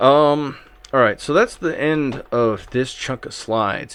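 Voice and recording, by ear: Lively intonation runs through a man's fairly bright tone.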